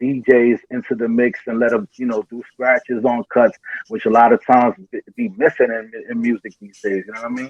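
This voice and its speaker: Ordinary pitch variation in a man's voice set at a medium pitch. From New York City, the Bronx. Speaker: rapper. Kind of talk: interview.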